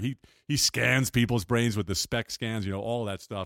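At a moderate pace, a man talks with fairly even intonation, on a very clean recording with a silent background and a dry, close sound with no echo. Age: 60s. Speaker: podcast host. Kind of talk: casual chat. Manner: hesitant, filler-heavy.

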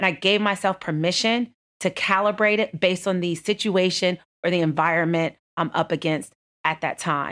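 On a very clean recording with a silent background, a woman with an American accent and an ordinary speaking voice talks at a moderate pace in a medium pitch, her intonation fairly even and her loudness very even. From Texas. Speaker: banking executive. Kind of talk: interview. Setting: office.

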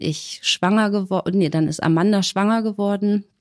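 A woman speaks in a plain, everyday voice at a medium pitch with ordinary pitch variation, the sound dry and close with no echo. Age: 30s. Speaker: single mother in shared house. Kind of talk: casual interview.

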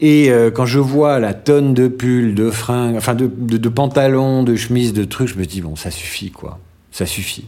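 This man talks at a moderate pace in a medium pitch, his tone dark and mellow. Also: ordinary pitch variation. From France, Normandy and Marseille. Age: 40s. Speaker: radio journalist. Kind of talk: casual interview.

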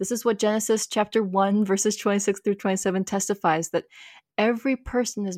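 Recorded very cleanly against a silent background, a woman with an American accent speaks in a dry, close sound with no echo. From US Midwest, Minnesota. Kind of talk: interview. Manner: halting, many repeated words.

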